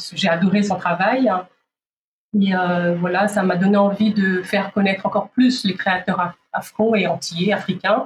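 A woman's medium-pitched, somewhat breathy voice at a fairly slow pace, with very even loudness and fairly even intonation. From DR Congo, Kinshasa. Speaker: fashion event founder. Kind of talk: interview. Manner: halting.

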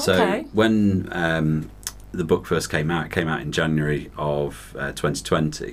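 Very slow and very deep, a man's voice carries lively intonation. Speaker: novelist, guest author.

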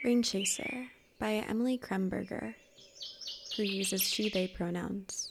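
Over noticeable background noise, a woman with a soothing tone and medium pitch speaks at a fairly slow pace with lively intonation, very even loudness, and long, frequent pauses. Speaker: poet and podcast host reading poems. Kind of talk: poetry reading, calming and meditative. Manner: slow, measured, soothing; expressive, lyrical phrasing with pauses at line breaks.

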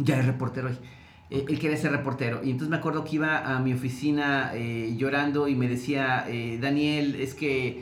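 At a moderate pace, a man with a medium-pitched voice speaks in fairly even intonation, with audible room echo. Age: 40s. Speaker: TV journalist and media program director. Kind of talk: casual interview conversation.

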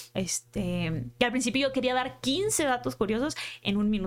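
At a fairly slow pace, a woman speaks with a fairly high pitch, vocal fry and lively intonation. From Culiacán, Sinaloa, Mexico. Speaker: content creator and writer. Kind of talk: casual interview.

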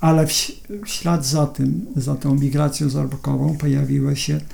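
A man's fairly high, somewhat breathy voice moves at a fairly slow pace with fairly even intonation. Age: 60s. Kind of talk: interview. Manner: halting, with repetitions and fillers.

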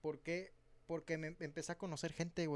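A man talks at a very fast pace. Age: 20s. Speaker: drummer in a band. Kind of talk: casual chat.

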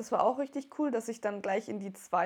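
Against a quiet background, a woman's voice has a dark, mellow tone and fairly even intonation. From Wertheim, northern Baden-Württemberg, Germany. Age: 20s. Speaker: make-up artist. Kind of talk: casual interview.

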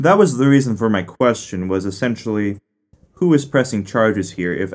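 A man with a plain, everyday voice and lively intonation speaks at a moderate pace on a very clean recording with a silent background. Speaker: lawyer acting as show judge. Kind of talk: casual mock-trial debate podcast.

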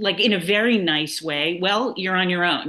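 The tone is bright and sharp, with an American accent. Delivery comes at a fairly slow pace. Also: woman. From New York City, Manhattan. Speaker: nonprofit founder, cookbook author. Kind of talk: interview.

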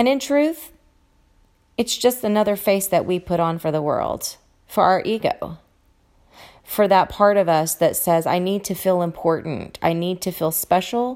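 Fairly slow, medium-pitched woman's voice on a very clean recording with a silent background. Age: 40s. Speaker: grieving widow sharing personal reflections. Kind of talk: solo monologue / personal testimony. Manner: hesitant, with fillers and repetitions.

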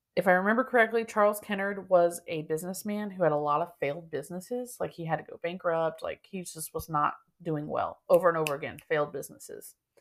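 A woman with a medium-pitched voice speaks at a very fast pace, her pitch varying in an ordinary way. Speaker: podcast co-host. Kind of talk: ghost story telling; casual chat.

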